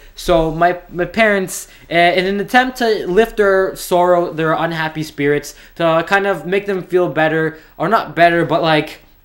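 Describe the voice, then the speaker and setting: A man's high-pitched voice moves at a moderate pace with ordinary pitch variation. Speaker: YouTube storyteller. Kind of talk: casual storytime monologue. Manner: rambling, hesitant with repeats.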